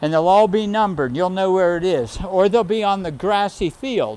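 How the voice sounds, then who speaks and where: This man's voice sits high in pitch. It shows ordinary pitch variation. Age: 70s. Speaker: triathlon coach. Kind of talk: casual coaching chat.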